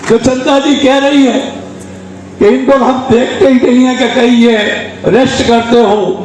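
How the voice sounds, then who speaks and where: Amid noticeable background noise and audible room echo, a man speaks at extremely high pitch with very even loudness. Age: 60s. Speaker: trade union leader and politician. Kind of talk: public speech. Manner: animated.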